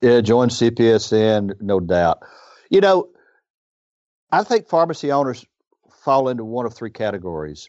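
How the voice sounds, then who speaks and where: A man with a Southern US accent and medium pitch, at a moderate pace, with very wide pitch swings and long, frequent pauses, against a quiet background. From US South, northern Mississippi. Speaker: independent pharmacy owner. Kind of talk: interview.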